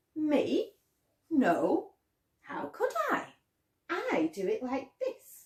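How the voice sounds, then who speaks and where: A woman uses a put-on character voice at an extremely high pitch. She goes at a very slow pace, with long, frequent pauses. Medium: read story.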